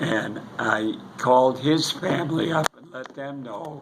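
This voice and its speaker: A man with an American accent talks at a very slow pace, at medium pitch and with fairly even intonation. Audible room echo and noticeable background noise fill the recording. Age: 80s+. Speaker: war veteran. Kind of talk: casual chat. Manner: halting.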